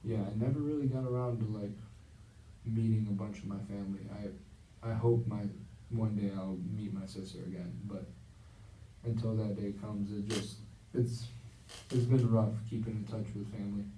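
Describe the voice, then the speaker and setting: In a room with audible echo, a man speaks at a moderate pace with long, frequent pauses, his fairly low voice somewhat breathy, dark and mellow, with flat, monotone intonation. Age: 20s. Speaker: counseling client in a practice session. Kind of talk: role-played counseling session. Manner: halting, many fillers.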